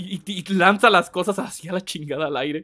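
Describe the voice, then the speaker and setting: The speaker is a man with a bright, sharp tone. He keeps a moderate pace. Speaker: gaming streamer. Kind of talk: live gameplay stream chat. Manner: animated.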